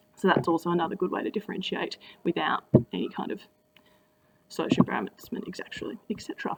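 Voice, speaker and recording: A woman with an Australian accent speaks at a very fast pace. Her speech is broken by long, frequent pauses. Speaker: teacher. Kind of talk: tutorial. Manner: casual.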